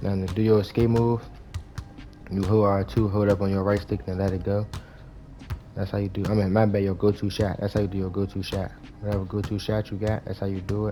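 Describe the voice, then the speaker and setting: A man's fairly low, monotone voice at a very fast pace, broken by long, frequent pauses, with music in the background. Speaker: gaming YouTuber. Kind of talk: gameplay tutorial.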